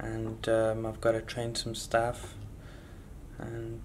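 There is light background noise. Over it, a man talks. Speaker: travelling vlogger. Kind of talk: casual vlog chat. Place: home room. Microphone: phone near.

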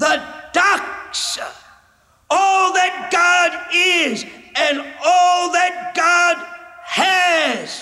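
The voice shouts at a very slow pace with very even loudness. Intonation stays monotone and flat, broken by long, frequent pauses. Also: man. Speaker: evangelist preacher. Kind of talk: sermon. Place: stage. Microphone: podium.

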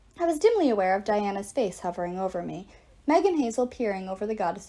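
Plain reading aloud, nothing more.

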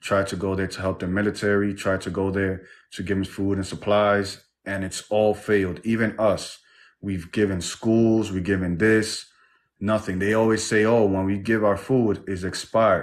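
A man talks at a moderate pace. His voice sits at a fairly low pitch. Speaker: livestream host. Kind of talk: livestream talk show. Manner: animated. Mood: earnest, somewhat frustrated. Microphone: video call.

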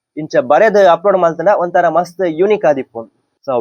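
The sound is dry and close with no echo as a man speaks at a high pitch with ordinary pitch variation. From Tulu Nadu, coastal Karnataka. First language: Tulu (speaking Kannada). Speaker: tech vlogger. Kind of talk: tutorial.

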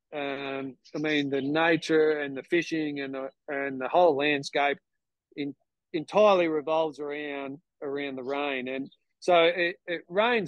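The speech moves at a fairly slow pace. The sound is dry with no echo, over a quiet background. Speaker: guest. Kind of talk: interview answer. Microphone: video call.

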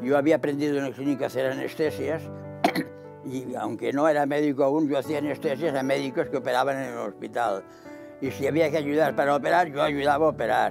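Over clear background music, a man talks at a fairly quick pace. His voice is fairly high, with fairly even intonation. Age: 80s+. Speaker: elderly interviewee. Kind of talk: interview answer. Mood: calm reminiscing. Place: home room. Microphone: lapel.

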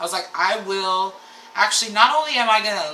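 A woman's moderate-paced voice at medium pitch, with ordinary pitch variation, light background noise and audible room echo. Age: 30s. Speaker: podcast co-host. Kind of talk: casual chat. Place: home room.

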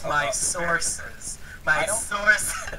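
Over loud background noise, a woman performs in a put-on character voice.

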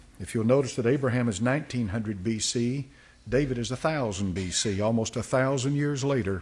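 Somewhat breathy, a man speaks with ordinary pitch variation. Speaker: pastor teaching Sunday school. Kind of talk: sermon. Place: church. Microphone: podium.

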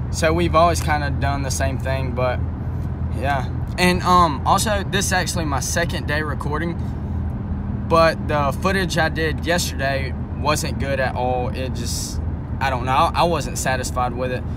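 Loud background noise sits behind a man speaking at a moderate pace in a dry sound with no echo. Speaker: first-time vlogger. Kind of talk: casual vlog chat. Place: car. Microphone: phone near.

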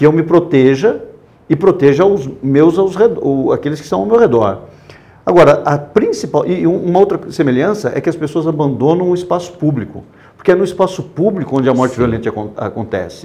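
Moving at a fairly quick pace, a man speaks with lively intonation. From Brazil, interior of São Paulo (Botucatu); São Paulo, Brazil. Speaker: war photographer; interview guest. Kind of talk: interview. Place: studio.

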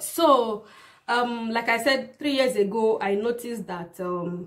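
Ordinary pitch variation in a woman's speech. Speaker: vlogger. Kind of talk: casual vlog chat. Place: home room.

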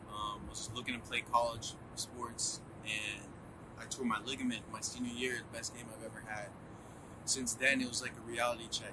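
In a room with audible echo and noticeable background noise, a man talks at a medium pitch in a flat, monotone way. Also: moderate pace. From United States (moved from Colombia at two; Boston, Florida, Canada, Philadelphia). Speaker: student entrepreneur, artist manager. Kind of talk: interview monologue.

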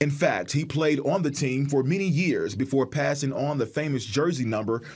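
Somewhat breathy and fairly high in pitch, a man speaks with ordinary pitch variation. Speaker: TV news reporter. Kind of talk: TV news report.

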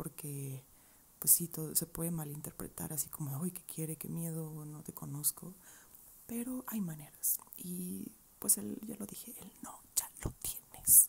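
Soft-spoken and somewhat breathy, a woman talks at a fairly low pitch and a fairly slow pace. Her pitch swings very widely over light background noise. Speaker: advice vlogger. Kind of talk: casual vlog chat answering viewer questions. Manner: soft close-mic ASMR voice. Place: home room. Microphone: earbuds.

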